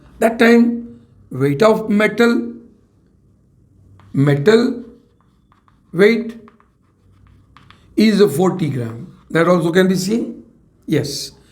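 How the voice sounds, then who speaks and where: Speaking at a very slow pace with long, frequent pauses, a man with an Indian accent uses a high pitch and lively intonation. Audible room echo fills the recording. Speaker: chemistry teacher. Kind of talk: lecture. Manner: repetitive.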